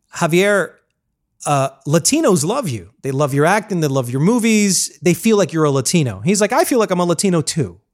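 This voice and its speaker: A man talks at a moderate pace with a high pitch and very wide pitch swings. The recording is very clean, with a silent background. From Colombian American, raised in US. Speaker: podcast host. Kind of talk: casual interview chat.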